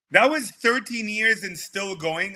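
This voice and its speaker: Raised and projected, a man's high-pitched voice has a bright, sharp tone and moves at a moderate pace. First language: not English. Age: 40s. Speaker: entrepreneur and event producer. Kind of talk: interview.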